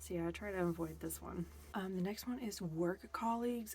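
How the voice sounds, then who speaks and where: A soft-spoken, relaxed voice at a moderate pace. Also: woman. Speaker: booktuber / ASMR creator. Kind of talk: soft-spoken ASMR book chat to camera. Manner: soft-spoken, relaxed, casual.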